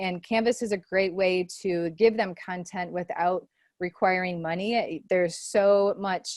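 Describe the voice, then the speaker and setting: A woman talks at a moderate pace in an ordinary speaking voice. Her pitch is medium, with ordinary pitch variation. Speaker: online teaching trainer. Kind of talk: presentation to faculty.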